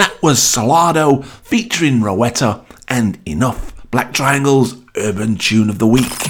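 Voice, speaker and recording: The speaker sounds enthusiastic, with lively intonation at a fairly slow pace. Background noise is noticeable. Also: man, medium pitch for a man. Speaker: radio DJ presenting new music. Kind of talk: upbeat radio DJ patter introducing tracks between songs. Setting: studio. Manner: enthusiastic, gushing about each tune; brisk, chatty link-by-link delivery.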